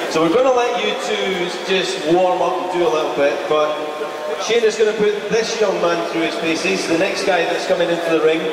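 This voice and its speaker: Noticeable background noise and audible room echo come with a man's voice, which has ordinary pitch variation. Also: moderate pace. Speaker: ring announcer. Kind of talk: public event announcement. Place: hall.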